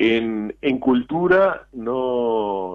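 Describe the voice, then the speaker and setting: A man speaks at a medium pitch that varies in an ordinary way. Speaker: poet and writer. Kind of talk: radio interview. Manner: halting, repeats words.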